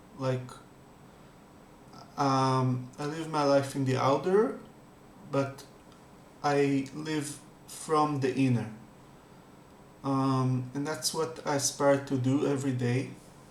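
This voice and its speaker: A man speaks at a very slow pace with fairly even intonation, long and frequent pauses, and audible room echo. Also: fairly high pitch for a man. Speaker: spiritual meditation youtuber. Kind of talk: casual talk before guided meditation. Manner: halting, many fillers; calm.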